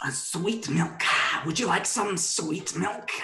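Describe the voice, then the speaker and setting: A man's put-on character voice, high-pitched and at a fairly slow pace. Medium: actual play. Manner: upbeat sales pitch.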